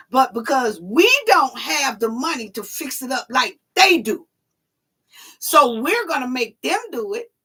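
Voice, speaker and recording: A woman with an American accent uses a raised, projected voice, high in pitch and bright and sharp in tone, at a fairly slow pace, with very wide pitch swings and big swings in loudness. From New York and Atlanta/Alabama. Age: 40s. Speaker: YouTube commentary host. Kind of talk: live call-in stream chat.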